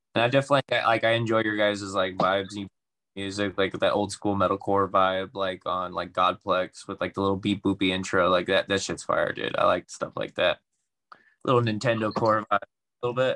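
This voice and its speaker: At a fairly quick pace, a man with an unremarkable speaking voice talks at a fairly low pitch with fairly even intonation, in a dry, close sound with no echo. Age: 30s. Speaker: podcast host. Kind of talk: casual chat.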